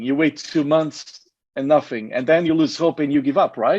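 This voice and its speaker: Against a quiet background, a man with a Portuguese accent talks at a fairly high pitch. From Portugal. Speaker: network marketing presenter. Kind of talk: sales pitch.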